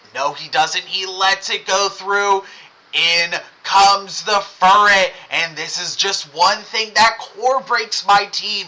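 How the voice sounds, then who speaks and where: A man speaks at a very slow pace in a high, raised, projected voice with fairly even intonation over noticeable background noise. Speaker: gaming streamer. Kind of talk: live gameplay commentary.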